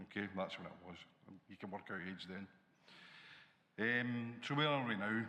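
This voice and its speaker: Audible room echo surrounds a man speaking at a moderate pace with a Glaswegian accent. His tone is bright and sharp, with ordinary pitch variation. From Scotland, Glasgow. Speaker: college dean. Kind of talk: conference panel talk.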